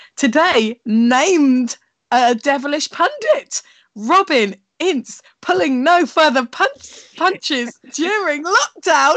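Against a quiet background, a woman speaks at a high pitch with very wide pitch swings. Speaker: comedian and co-host. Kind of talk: casual chat. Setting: video call. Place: home room. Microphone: earbuds.

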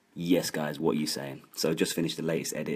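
A man talks at a very fast pace with vocal fry. His pitch is very deep and low. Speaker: video creator. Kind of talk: casual vlog chat.

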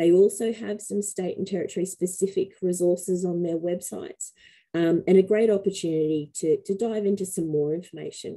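A woman with an Australian accent talks at a fairly quick pace in a dark, mellow tone, her intonation fairly even. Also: quiet background. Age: middle-aged. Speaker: webinar host, facilitator. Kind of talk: webinar panel moderation. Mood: warm, encouraging. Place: home room. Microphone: headset.

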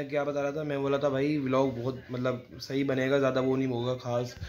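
Light background noise sits under the voice. The intonation is flat and monotone. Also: man. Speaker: vlogger. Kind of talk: casual vlog.

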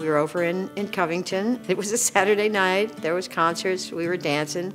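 Clear music plays in the background. A woman speaks at a moderate pace. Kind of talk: interview answer. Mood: warm, storytelling. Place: studio.

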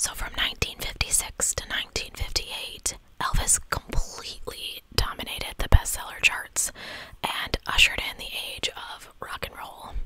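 A soft-spoken woman is whispering at a moderate pace with big swings in loudness. The sound is dry with no echo. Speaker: streamer or storyteller. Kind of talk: reading a history narration. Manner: soft close-mic ASMR whisper. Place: home room. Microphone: studio mic.

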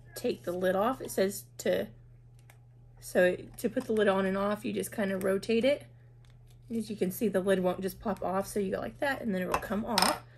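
The voice has vocal fry and long, frequent pauses at a moderate pace, with light background noise. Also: woman. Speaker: product reviewer. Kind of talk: product review tutorial. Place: home room. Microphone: phone near.

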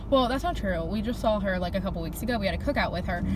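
There is noticeable background noise behind a woman's voice. The sound is dry with no echo. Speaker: vlogger. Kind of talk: casual vlog chat. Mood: relaxed, chatty. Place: car. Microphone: phone near.

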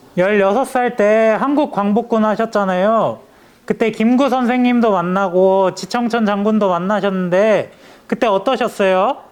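This man speaks at a fairly slow pace in a high pitch, his loudness very even throughout. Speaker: newspaper political reporter. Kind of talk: interview questions to camera and interviewee.

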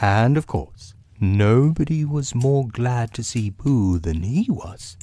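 A reading voice that sounds unforced

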